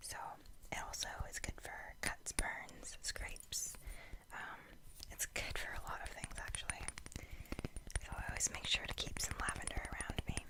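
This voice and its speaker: Someone whispers with long, frequent pauses over noticeable background noise. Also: moderate pace. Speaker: ASMR content creator. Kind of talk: ASMR whispered show-and-tell. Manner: whispered.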